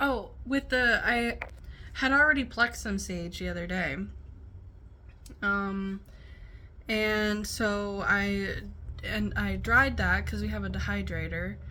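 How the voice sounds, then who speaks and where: A woman mumbles at a very slow pace. Her long pauses come often. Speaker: stay at home mom. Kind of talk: casual talk to camera. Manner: mumbling.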